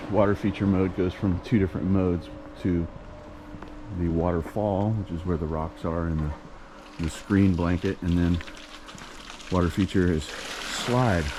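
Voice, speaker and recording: Noticeable background noise accompanies a man's very deep, low voice, which shows ordinary pitch variation. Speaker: pool service technician. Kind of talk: vlog narration. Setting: in a car. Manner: soft-spoken.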